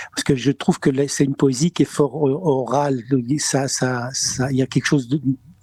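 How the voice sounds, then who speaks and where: A man with a fairly high pitch comes across with a dry, close sound with no echo, though noticeable background noise is present. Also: fairly even intonation, moderate pace. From Spain. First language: Spanish (speaking French). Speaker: comedian. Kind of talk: interview. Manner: halting, many repetitions.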